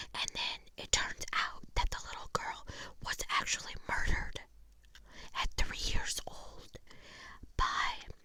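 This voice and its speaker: Whispering at a fairly slow pace, a woman leaves long, frequent pauses while her loudness swings widely. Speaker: ASMR creator. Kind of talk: ASMR book review. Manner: whispered.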